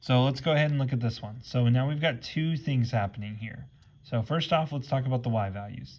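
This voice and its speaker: Somewhat breathy, a man speaks at a medium pitch. He moves at a fairly quick pace with ordinary pitch variation. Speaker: math teacher. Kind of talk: tutorial. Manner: fast.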